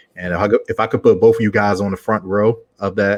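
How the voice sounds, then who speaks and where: A man with a Baltimore accent talks at a very fast pace. His pitch is fairly low, and the background is quiet. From Baltimore, Maryland, US. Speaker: founder of a speakers network. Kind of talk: podcast interview.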